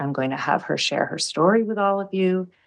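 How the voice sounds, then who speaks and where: Lively intonation runs through a woman's plain, everyday voice, which sits fairly low in pitch. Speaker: podcast host. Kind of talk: podcast interview questions.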